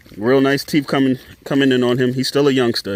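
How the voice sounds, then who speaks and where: A man with a medium pitch and a relaxed tone speaks at a moderate pace in flat, monotone intonation. Noticeable background noise sits behind him. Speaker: dog breeder. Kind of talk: casual vlog. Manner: casual, relaxed.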